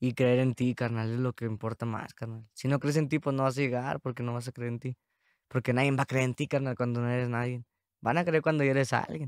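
A man with an unremarkable speaking voice talks at a fairly quick pace and medium pitch with fairly even intonation, in a dry sound with no echo and a quiet background. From Mexico, San Luis Potosí. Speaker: rapper; podcast guest. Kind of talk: casual chat. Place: studio. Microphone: studio mic.

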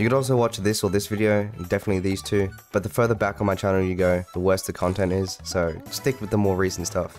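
Against music in the background, a man speaks at a very fast pace with fairly even intonation. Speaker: gaming YouTuber. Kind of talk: channel intro talk to camera.

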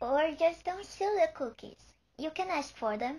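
The speaker uses a cartoonish character voice at a moderate pace. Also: female-sounding voice, extremely high pitch for a woman. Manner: gentle, kind.

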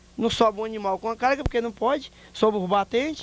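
Fairly quick speech over light background noise, in a dry sound with no echo. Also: man. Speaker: interviewee. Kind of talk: interview answer. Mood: complaining, appealing for repairs. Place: street. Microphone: handheld.

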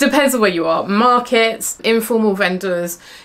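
A woman speaks at a moderate pace, medium in pitch with a fairly bright tone. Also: ordinary pitch variation.

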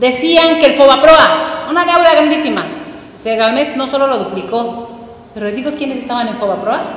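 Through noticeable background noise, a high-pitched woman speaks at a moderate pace with ordinary pitch variation. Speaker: political panelist. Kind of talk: panel discussion. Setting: stage with audience.

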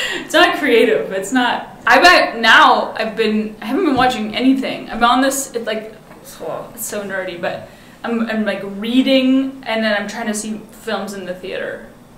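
A woman with an American accent at a fairly high pitch and fairly slow pace, with ordinary pitch variation, big swings in loudness, audible room echo, and noticeable background noise. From Seattle, US Pacific Northwest. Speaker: film director. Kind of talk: casual chat.

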